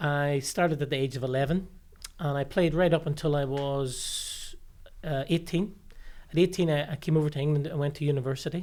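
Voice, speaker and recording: Speaking with a Northern Irish accent, the voice moves at a moderate pace with long, frequent pauses. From Northern Ireland, Limavady. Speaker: sports high performance director. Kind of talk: podcast interview. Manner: hesitant, many fillers and repeated words.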